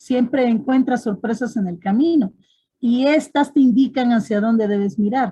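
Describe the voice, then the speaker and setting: A somewhat breathy woman's voice, dark and mellow in tone, at a fairly slow pace. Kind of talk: panel discussion.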